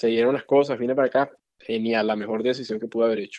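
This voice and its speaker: Someone with a Venezuelan accent talks at a very fast pace. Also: man. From Venezuela, Valencia. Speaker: physician. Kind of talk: interview conversation.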